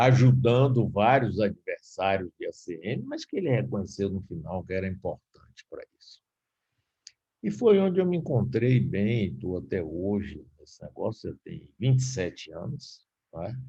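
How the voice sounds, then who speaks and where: Speaking at a fairly slow pace, a man with medium pitch, a dark, mellow tone and vocal fry makes very wide pitch swings and big swings in loudness. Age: 70s. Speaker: radio broadcaster and former politician. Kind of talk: lecture. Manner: casual.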